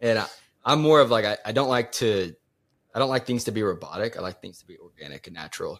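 Over a very clean recording with a silent background, a man of medium pitch rushes along at a very fast pace with lively intonation, vocal fry and big swings in loudness. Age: 20s. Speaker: newly engaged fiance. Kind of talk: casual interview chat.

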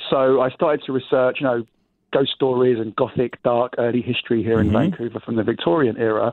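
A man with an English accent talks at a very fast pace. His intonation is fairly even. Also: medium pitch for a man. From England, London. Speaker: walking tour company owner. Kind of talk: interview.

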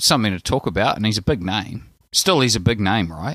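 A man's fairly low voice with a bright, sharp tone and lively intonation, in a New Zealand accent, at a moderate pace, recorded very cleanly with a silent background. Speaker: basketball fan correspondent. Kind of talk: casual chat. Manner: hesitant, many fillers.

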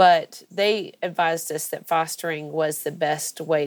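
Speaking in a plain, everyday voice with an American accent, a woman talks at a moderate pace with fairly low pitch and fairly even intonation. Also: very clean recording, silent background. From US South, Georgia (Athens). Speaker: foster parent. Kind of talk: interview.

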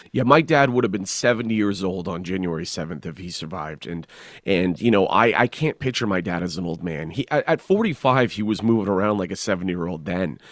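In a Canadian accent, a man with a very deep, low pitch talks at a fairly quick pace with hardly any pauses, on a very clean recording with a silent background. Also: lively intonation. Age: 30s. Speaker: stand-up comedian and author. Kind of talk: casual interview.

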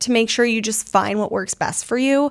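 Her pitch varies in an ordinary way as the woman talks at a fairly quick pace. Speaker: podcast host. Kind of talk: casual chat. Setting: studio.

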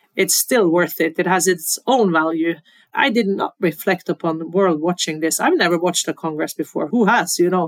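A woman with a Norwegian accent at a moderate pace, with ordinary pitch variation and a dry, close sound with no echo. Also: fairly low pitch for a woman. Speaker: football federation president. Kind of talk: interview.

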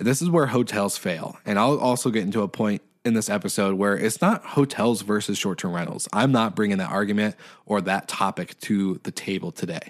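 A man with an American accent talks at a fairly quick pace in an animated tone, his fairly low voice showing ordinary pitch variation on a very clean recording with a silent background. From Washington State, US (island north of Seattle). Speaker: short-term rental host, guest podcast host. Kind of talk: casual podcast monologue.

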